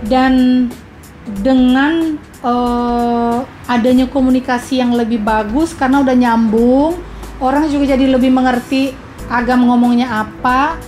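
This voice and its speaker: With a slight Makassar accent, the speaker talks at a fairly slow pace in a flat monotone at very even loudness, with music in the background and audible room echo. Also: woman, high pitch for a woman. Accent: slight Makassar tinge in her Indonesian. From Indonesia. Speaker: podcast host. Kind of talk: casual chat. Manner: halting.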